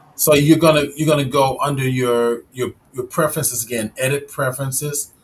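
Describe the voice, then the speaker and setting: A man with an American accent, an ordinary speaking voice, medium pitch and moderate pace. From Chicago. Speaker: 3D software instructor and live stream host. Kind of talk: tutorial. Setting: live stream.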